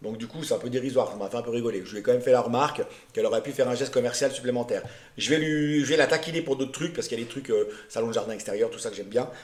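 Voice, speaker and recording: A man with a medium-pitched voice talks at a very fast pace. His pitch varies in an ordinary way, while his loudness swings widely. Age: 50s. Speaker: vlogger. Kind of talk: casual vlog presentation. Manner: hesitant, many fillers.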